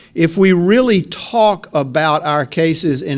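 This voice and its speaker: Over noticeable background noise, a man speaks at a fairly slow pace. His pitch is fairly high, and his intonation is lively. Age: 60s. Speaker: lawyer. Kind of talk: CLE ethics talk.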